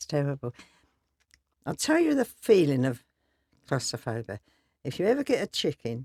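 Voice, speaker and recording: Pitched very deep and low, a woman talks at a moderate pace with very wide pitch swings and long, frequent pauses, the sound dry and close with no echo. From East London. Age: 80s+. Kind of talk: interview answer. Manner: blunt, lively.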